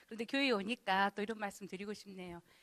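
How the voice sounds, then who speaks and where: A woman speaks at a medium pitch with ordinary pitch variation, the sound dry and close with no echo on a very clean recording with a silent background. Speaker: youth counseling center director, lecturer. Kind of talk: lecture. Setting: church hall with audience. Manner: casual, conversational.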